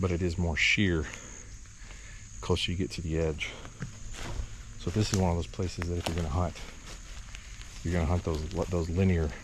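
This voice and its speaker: A man with a very deep, low pitch talks at a moderate pace with long, frequent pauses and fairly even intonation. Audible room echo and noticeable background noise surround him. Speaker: bowhunter and outdoor video host. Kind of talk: walk-and-talk hunting vlog. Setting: outdoors in timber on a bluff. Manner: whispering at times.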